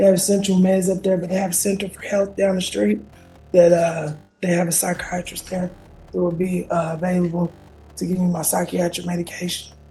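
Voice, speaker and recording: A woman's fairly low, fairly quick voice with fairly even intonation, music in the background. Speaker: defendant in court. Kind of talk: courtroom testimony. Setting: courtroom. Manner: halting.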